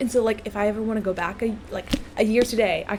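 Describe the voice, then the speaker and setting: With music in the background, a soft-spoken woman talks very fast in an animated tone at a medium pitch. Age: young. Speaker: gaming streamer. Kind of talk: casual chat. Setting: live stream in a dorm room.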